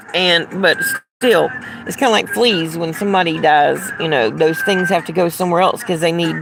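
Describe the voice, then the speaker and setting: A woman with a Southern US accent talks in a fairly low pitch with lively intonation. Noticeable background noise runs behind her. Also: moderate pace. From US South. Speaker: livestreamer. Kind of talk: casual chat. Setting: outdoors.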